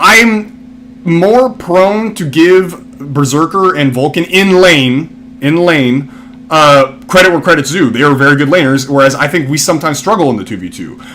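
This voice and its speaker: A man mumbles at a moderate pace with hardly any pauses, his fairly high pitch making very wide swings. Noticeable background noise runs underneath. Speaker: esports commentator. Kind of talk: casual chat. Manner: mumbling.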